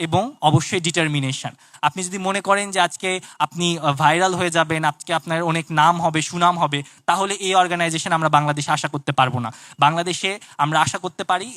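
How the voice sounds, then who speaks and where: On a very clean recording with a silent background, a man's high-pitched voice has a bright, sharp tone and fairly even intonation, with a dry, close sound and no echo. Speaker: student researcher and inventor. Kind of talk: speech to an audience at a science festival.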